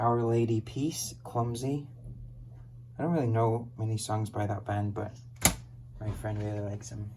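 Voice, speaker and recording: Pausing long and often, a man speaks at a moderate pace with medium pitch and fairly even intonation. His somewhat breathy voice has a dark, mellow tone, and the room echo is audible. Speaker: online reseller. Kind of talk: casual product showcase.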